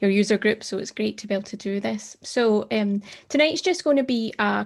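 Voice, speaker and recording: A woman speaks with a Scottish accent. Her pitch sits in the medium range. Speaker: tech advocate. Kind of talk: presentation.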